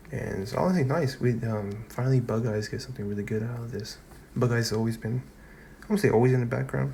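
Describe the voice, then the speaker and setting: Very fast speech in a dark, mellow, somewhat breathy tone, with ordinary pitch variation and audible room echo. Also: man, medium pitch for a man. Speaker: anime and manga reviewer. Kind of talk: casual video review. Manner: halting, many fillers and restarts.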